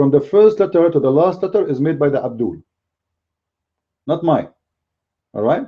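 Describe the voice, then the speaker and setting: Ordinary pitch variation marks a man's voice, which sits at a fairly high pitch. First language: not English. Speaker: religious commentator. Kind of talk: polemical video commentary. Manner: animated.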